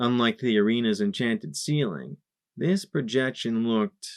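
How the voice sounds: This is a natural reading voice against a quiet background.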